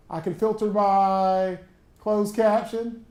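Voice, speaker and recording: A man speaks with a strong Southern US accent, his high pitch and dark, mellow tone carried by ordinary pitch variation. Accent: thick Southern US. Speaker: college instructor. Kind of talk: workshop tutorial. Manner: casual, conversational.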